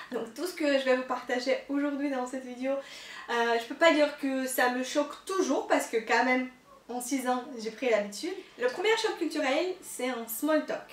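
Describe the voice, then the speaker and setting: A woman speaks at a fairly slow pace in a high voice with ordinary pitch variation and a slight Russian accent. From Russia, Moscow. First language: Russian (speaking French). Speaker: YouTuber, expat vlogger. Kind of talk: casual vlog. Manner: hesitant, many fillers.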